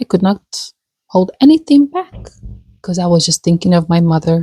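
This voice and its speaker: A woman with a somewhat breathy, dark, mellow tone comes through in a dry, close sound with no echo. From Africa. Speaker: vlogger. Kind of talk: personal vlog. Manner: halting.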